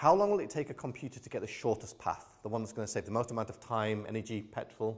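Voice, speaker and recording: A man talks at a very fast pace in a British accent. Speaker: AI expert keynote speaker. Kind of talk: keynote talk.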